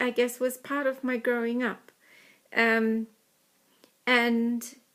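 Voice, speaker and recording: Someone with a New Zealand accent speaks in a very clean recording with a silent background. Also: woman. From New Zealand, small country town. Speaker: Welsh learner. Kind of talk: personal talk. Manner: hesitant, many filler ums.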